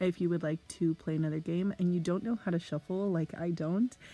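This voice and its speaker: Fairly even intonation from a woman, her voice sitting fairly low in pitch. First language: Spanish. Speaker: education student. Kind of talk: tutorial.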